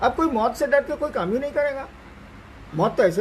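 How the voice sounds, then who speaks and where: A man at an extremely high pitch with very wide pitch swings, at a moderate pace over noticeable background noise. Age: 70s. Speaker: spiritual teacher. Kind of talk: religious discourse answering questions.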